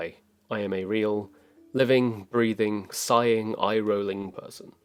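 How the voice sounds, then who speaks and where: A man is speaking. Music plays in the background. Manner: calm.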